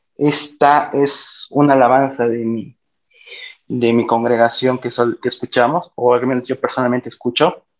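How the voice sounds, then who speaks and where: The man's voice sits at a medium pitch. He speaks at a fairly slow pace in a monotone, flat way. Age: 20s. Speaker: university student. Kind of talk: interview.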